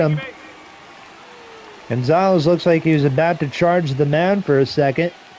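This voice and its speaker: A man with an American accent at a moderate pace, ordinary pitch variation, and noticeable background noise. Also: long, frequent pauses, very even loudness. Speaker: video game streamer doing play-by-play. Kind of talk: live commentary. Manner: casual, conversational.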